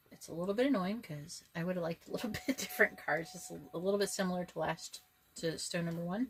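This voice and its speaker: Over noticeable background noise, a woman talks very fast in a fairly low pitch with ordinary pitch variation and big swings in loudness. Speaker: tarot reader. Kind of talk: tarot reading video. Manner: casual, conversational.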